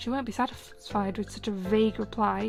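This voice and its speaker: Soft-spoken, a woman talks at a fairly quick pace with music in the background. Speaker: streamer. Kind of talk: audiobook reading.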